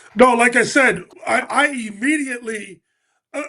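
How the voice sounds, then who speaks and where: A man speaks in a raised, projected voice with a bright, sharp tone at an extremely high pitch. He keeps a moderate pace and ordinary pitch variation. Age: 60s. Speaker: basketball commentator. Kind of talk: casual sports talk.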